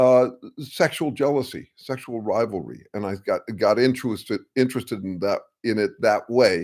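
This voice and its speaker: A normal speaking voice from a man, medium in pitch with ordinary pitch variation, at a moderate pace on a very clean recording with a silent background. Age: 60s. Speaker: strategic consultant and live-stream host. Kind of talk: casual live-stream talk. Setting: live stream with chat. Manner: many fillers and restarts.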